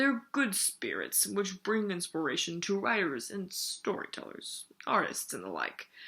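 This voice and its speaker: A gravelly, guttural put-on character voice at a moderate pace with hardly any pauses. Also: woman, medium pitch for a woman. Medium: read story. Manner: slow, thoughtful.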